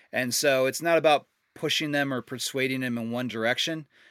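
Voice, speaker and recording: A man with an American accent and a normal speaking voice talks fairly quickly at a medium pitch with fairly even intonation, recorded very cleanly against a silent background. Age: 40s. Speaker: professional disc golfer. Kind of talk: casual interview.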